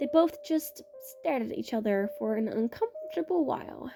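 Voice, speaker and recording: A high-pitched woman's voice with music in the background. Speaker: amateur story writer and reader. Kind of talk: read fiction story.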